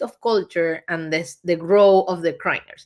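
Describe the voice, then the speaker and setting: Speaking with a Spanish accent, a woman talks at a fairly slow pace in a fairly low pitch. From Venezuela. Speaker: agency founder and CEO. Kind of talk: interview.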